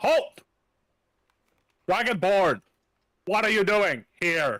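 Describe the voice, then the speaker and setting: Using a put-on character voice with a high pitch, a man speaks at a very slow pace with lively intonation in a dry, close sound with no echo. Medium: actual play. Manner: brusque, authoritative.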